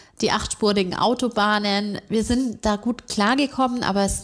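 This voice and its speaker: On a very clean recording with a silent background, a woman speaks in a Bavarian accent at a medium pitch. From Bavaria, Augsburg. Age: 30s. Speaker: bank marketing employee. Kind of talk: interview.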